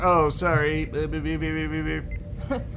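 A man's put-on character voice over loud background noise. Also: fairly slow pace. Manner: robotic, mechanical.

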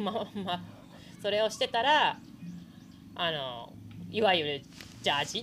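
Over music in the background, a woman at medium pitch makes very wide pitch swings, speaking at a fairly slow pace with long, frequent pauses. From Japan, Hokkaido (Sapporo). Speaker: professional gravel cyclist. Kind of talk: casual interview. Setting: outdoors at event venue.

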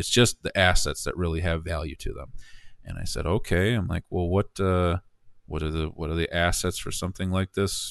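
Against a quiet background, a man talks at a moderate pace. He has an American accent. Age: 30s. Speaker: business owner. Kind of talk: casual chat.

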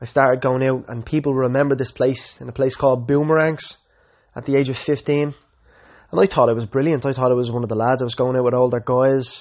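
A man with a Dublin accent, medium pitch and fairly even intonation, at a very fast pace. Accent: Dublin Irish. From Ireland, Dublin. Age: 20s. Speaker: podcaster. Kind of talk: personal testimony.

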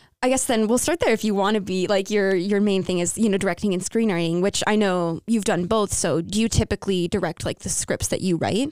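With a plain, everyday voice, a woman talks at a fairly quick pace and a medium pitch, with ordinary pitch variation and hardly any pauses. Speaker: radio host. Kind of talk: interview for a radio show.

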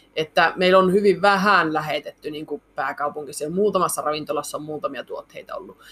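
In an unremarkable speaking voice, a woman talks fairly quickly with hardly any pauses, her fairly low pitch varying in an ordinary way while her loudness swings widely. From Finnish Lapland, Muonio. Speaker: reindeer meat processing entrepreneur. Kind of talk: interview.

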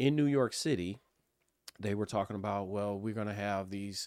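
On a very clean recording with a silent background, a man talks at a moderate pace in an ordinary speaking voice, fairly low in pitch, with a dry, close sound and no echo. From Pasadena, California. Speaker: political operative. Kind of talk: panel discussion.

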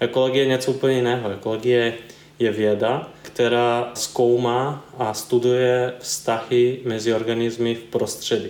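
With a Serbian accent, a man talks fairly slowly at a medium pitch in a monotone, flat way. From eastern Serbia. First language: Serbian (speaking Czech). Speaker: environmental consultant. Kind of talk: interview. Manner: halting.

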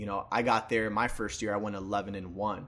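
Here a man talks with a New York accent. He keeps a moderate pace. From New York City, the Bronx. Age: 20s. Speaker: fitness sales manager. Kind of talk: casual chat.

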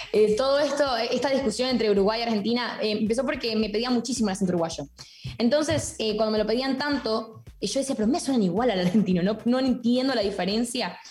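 Her voice fairly high and her loudness very even, a woman talks at a very fast pace with ordinary pitch variation against noticeable background noise. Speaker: TikToker and accent impressionist. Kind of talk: casual comedic podcast chat. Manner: playful, switches accents.

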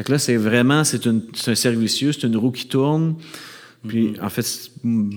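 Using a normal speaking voice, a man talks at a moderate pace, medium in pitch with ordinary pitch variation. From Quebec, Montreal suburbs. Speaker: ecological economics professor and bassist. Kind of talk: live interview before audience. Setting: stage with audience.

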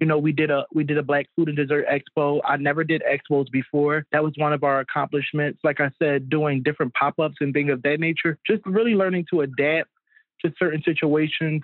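The man has a fairly high voice, a fairly quick pace, very even loudness, and fairly even intonation. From Philadelphia. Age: 20s. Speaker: chef and catering business owner. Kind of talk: casual interview.

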